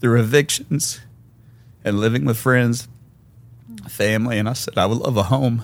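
A man in a Memphis accent, medium in pitch with ordinary pitch variation, at a moderate pace with long, frequent pauses. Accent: Southern US (Memphis). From US South, Memphis, Tennessee. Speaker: guest sharing faith testimony. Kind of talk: testimony.

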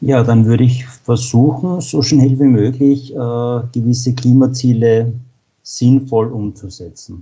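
Somewhat breathy and at a very slow pace, a man speaks at medium pitch with fairly even intonation. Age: 40s. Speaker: utility engineer. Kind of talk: interview. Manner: frequent filler sounds.

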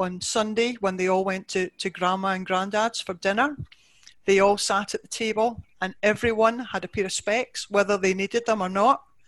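At a moderate pace, a woman with a Scottish accent speaks at a medium pitch with fairly even intonation against a quiet background. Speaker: optician. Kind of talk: interview.

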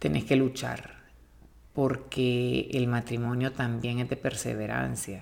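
A soft-spoken woman with a Honduran accent talks at a very slow pace in a very deep, low pitch. Her voice shows vocal fry and fairly even intonation. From Honduras, Tegucigalpa. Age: 40s. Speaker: host's mother. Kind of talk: casual interview.

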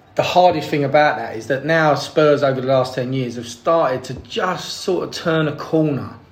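In a Cockney accent, the speaker talks at a moderate pace with hardly any pauses, ordinary pitch variation and big swings in loudness over noticeable background noise. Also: man, fairly high pitch for a man. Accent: London Cockney. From East London, England. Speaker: podcast guest, football fan. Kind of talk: casual chat.

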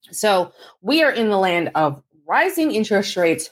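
A woman speaks at a very slow pace. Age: 40s. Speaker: personal finance podcaster. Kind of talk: casual monologue.

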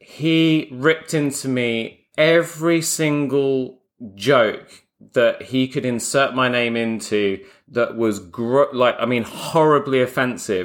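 With a London accent, a man talks at a fairly slow pace and medium pitch, with ordinary pitch variation. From London (Croydon). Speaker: podcast host, bespoke tailor. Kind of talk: casual interview chat.

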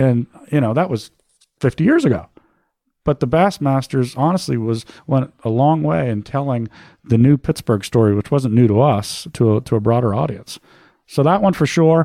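Lively intonation from a man with an American accent, medium pitch, dark, mellow tone and moderate pace, on a very clean recording with a silent background. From Boston, US. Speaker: university program chair and sports agent. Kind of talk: casual interview.

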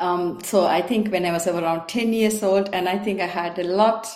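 A woman speaks at a moderate pace with a fairly low pitch. Her tone is slightly mellow, with ordinary pitch variation.

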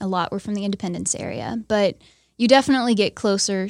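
An ordinary speaking voice at a fairly quick pace with fairly even intonation, in a very clean recording with a silent background. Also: woman. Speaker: church intern. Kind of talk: interview.

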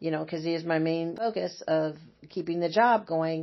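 A moderate pace from a normal speaking voice in an American accent. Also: woman. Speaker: retired hospice nurse. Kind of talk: interview.

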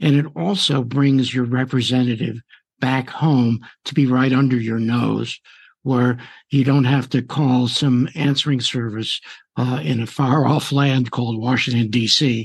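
A normal speaking voice from a man, medium in pitch, with fairly even intonation and a fairly slow pace. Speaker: radio host. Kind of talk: interview.

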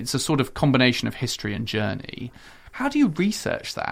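The speaker is a man with a British accent. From UK. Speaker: diplomat and podcast host. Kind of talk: interview.

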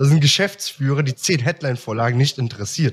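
A man talks at a moderate pace. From Germany, Aachen. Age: 20s. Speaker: copywriter. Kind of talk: casual interview chat. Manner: hesitant, many fillers.

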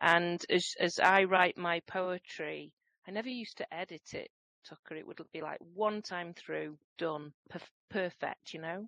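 A woman speaks at a fairly slow pace, her loudness swinging widely. The sound is dry and close with no echo, against a quiet background. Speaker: guest co-host, HR professional. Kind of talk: casual interview.

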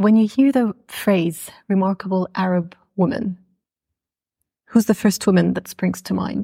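Somewhat breathy woman's voice, dry and close with no echo, at a fairly slow pace with long, frequent pauses. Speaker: podcast host. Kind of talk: interview conversation.

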